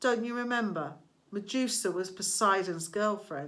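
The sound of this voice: The pitch shifts in an ordinary way as an unforced reading voice goes on.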